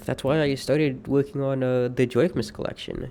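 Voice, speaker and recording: His voice sits at a fairly high pitch with a dark, mellow tone as a man speaks at a fairly quick pace with ordinary pitch variation. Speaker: streamer. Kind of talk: personal monologue. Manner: halting.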